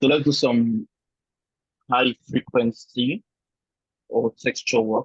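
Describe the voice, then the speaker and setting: Delivered at a very slow pace with long, frequent pauses, the speech has a Nigerian accent, fairly even intonation, and a dry, close sound with no echo. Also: man, medium pitch for a man. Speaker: photo retouching tutor. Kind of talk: one-on-one tutorial. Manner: casual, explanatory.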